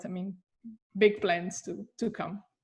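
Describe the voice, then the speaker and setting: With a Brazilian Portuguese accent, a woman speaks at a medium pitch and moderate pace, her intonation fairly even. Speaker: comics scholar. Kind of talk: interview. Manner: hesitant, many fillers.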